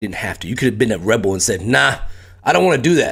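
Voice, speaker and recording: A man speaks at a medium pitch with vocal fry. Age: 30s. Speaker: streamer and retiring military member. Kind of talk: casual live stream chat. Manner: animated.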